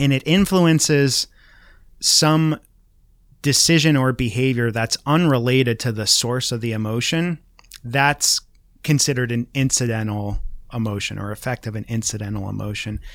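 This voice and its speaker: At a moderate pace, a man speaks in an ordinary speaking voice, his pitch varying in an ordinary way. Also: medium pitch for a man. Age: 30s. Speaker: marketing professor. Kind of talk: casual interview.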